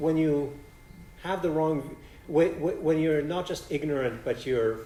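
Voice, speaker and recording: Audible room echo surrounds a man with a Polish accent who talks fairly slowly at a fairly high pitch. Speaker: philosophy professor. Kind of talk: Q&A after a lecture. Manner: halting, many restarts.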